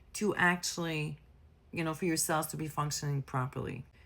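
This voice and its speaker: A woman with a French accent and a bright, sharp tone is heard in a very clean recording with a silent background. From France. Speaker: nurse health educator. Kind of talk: educational explainer. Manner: casual, conversational.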